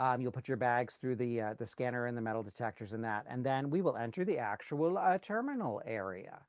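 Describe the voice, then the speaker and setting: A man talks at a fairly quick pace with lively intonation against a quiet background. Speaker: cruise group organizer. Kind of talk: online orientation presentation. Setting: video call. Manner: fast.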